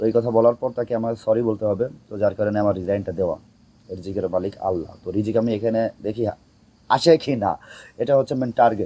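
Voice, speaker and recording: A man's dark, mellow voice at a medium pitch, with fairly even intonation. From Bangladesh, Narail district. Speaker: social media content creator. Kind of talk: interview.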